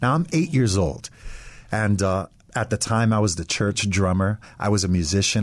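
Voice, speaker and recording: A man with an American accent has a normal speaking voice, fairly low in pitch, with ordinary pitch variation. He talks at a moderate pace against a quiet background. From US Northeast, Westchester, New York. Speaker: pastor. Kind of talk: radio interview.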